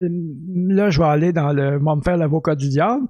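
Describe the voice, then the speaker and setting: A man with a high pitch and ordinary pitch variation speaks over a quiet background. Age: 60s. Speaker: podcast host. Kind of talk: casual chat. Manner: hesitant, many fillers.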